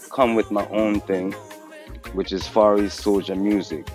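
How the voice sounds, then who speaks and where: Clear music plays in the background as a man speaks, in a dry sound with no echo. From Japan. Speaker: reggae artist. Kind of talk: interview answer. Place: street.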